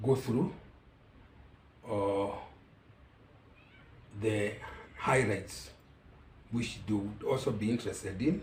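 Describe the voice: At a very slow pace, the voice has a slightly mellow tone and audible room echo around it. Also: man.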